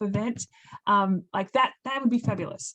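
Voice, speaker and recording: Against a quiet background, the words keep a moderate pace, with pitch varying in an ordinary way. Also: woman. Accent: Australian. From Australia. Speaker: occupational therapist and birding accessibility advocate. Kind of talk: webinar talk and Q&A.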